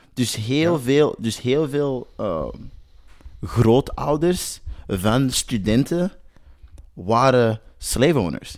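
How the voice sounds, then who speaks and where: This man has a medium pitch and lively intonation. He talks at a very slow pace with long, frequent pauses. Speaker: professional basketball player. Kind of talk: interview.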